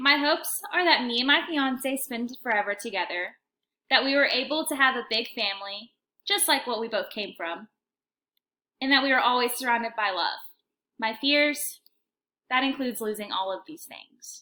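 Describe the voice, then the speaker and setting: A woman speaks in a high, bright, sharp voice with a Texan accent and lively intonation, her loudness swinging widely. She leaves long, frequent pauses, and the very clean recording has a silent background. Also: moderate pace. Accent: Texan American English. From Texas (Allen, Llano). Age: 20s. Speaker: university student. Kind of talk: self-introduction video.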